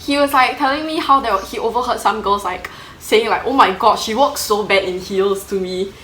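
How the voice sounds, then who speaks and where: A woman talks at a fairly quick pace in a fairly high voice with lively intonation. Audible room echo and noticeable background noise are present. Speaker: plus-size model. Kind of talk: casual chat.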